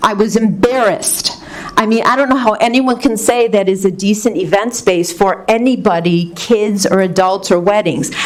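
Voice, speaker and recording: Noticeable background noise sits behind a woman of medium pitch. She talks at a moderate pace with ordinary pitch variation. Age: 60s. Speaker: resident speaking at public comment. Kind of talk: public comment at a board meeting.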